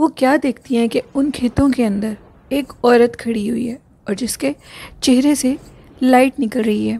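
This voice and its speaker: A woman speaks in a high pitch with a dark, mellow tone and fairly even intonation, recorded with a dry, close sound and no echo. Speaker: horror story podcast host. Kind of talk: storytelling. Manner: not very loud.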